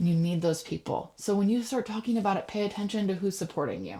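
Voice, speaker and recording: A woman's somewhat breathy voice, medium in pitch, with ordinary pitch variation. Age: 30s. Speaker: podcast host and business coach. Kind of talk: motivational podcast monologue. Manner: animated.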